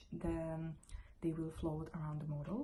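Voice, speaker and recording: A woman with a non-native accent sounds somewhat breathy. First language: not English. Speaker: photographer. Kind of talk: tutorial. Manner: halting.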